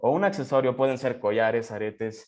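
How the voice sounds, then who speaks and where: A man's voice sits at a medium pitch. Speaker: student presenter. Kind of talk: seminar presentation.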